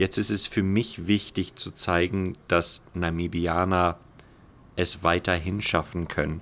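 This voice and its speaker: Spoken very slowly in a flat monotone, the voice sits on a silent background in a very clean recording. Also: man, very deep, low pitch for a man. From Namibia, Omaruru. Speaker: former pro cyclist, bicycle builder. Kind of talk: interview.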